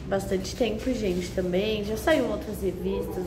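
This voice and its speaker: A woman talks at a moderate speed. Background music accompanies her. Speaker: food vlogger. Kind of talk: casual vlog chat. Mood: cheerful, enthusiastic. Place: cafe. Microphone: phone near.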